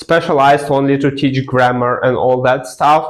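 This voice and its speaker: A man with a fairly high voice talks at a moderate pace. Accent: non-native. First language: not English. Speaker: language learning vlogger. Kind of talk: personal story to camera. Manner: casual, filler-heavy.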